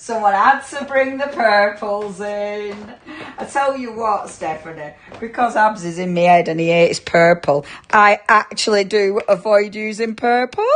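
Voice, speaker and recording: Over noticeable background noise, a woman speaks fairly slowly at medium pitch, her tone animated, her pitch variation ordinary, and her loudness swinging widely. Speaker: craft demonstrator, shopping-show presenter. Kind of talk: live craft demo with viewer chat. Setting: livestream studio. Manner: chatty, animated.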